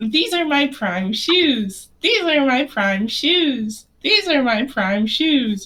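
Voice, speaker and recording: A woman puts on a cheerful character voice, high-pitched with very wide pitch swings. She goes at a very slow pace with hardly any pauses and very even loudness. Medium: actual play. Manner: repetitive, vacantly cheerful.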